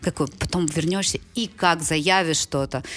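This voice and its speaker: A woman talks over noticeable background noise. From Ukraine. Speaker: startup and venture fund development executive. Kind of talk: casual chat.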